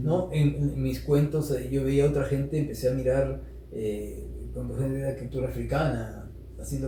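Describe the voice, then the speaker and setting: The voice belongs to a man. Noticeable noise is present behind it. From Peru. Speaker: storyteller and social activist. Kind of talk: interview answer.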